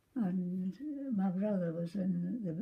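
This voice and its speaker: The speaker has a Scottish accent, a somewhat breathy sound and lively intonation. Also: woman. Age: 80s+. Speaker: former orphanage resident. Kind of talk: interview answer.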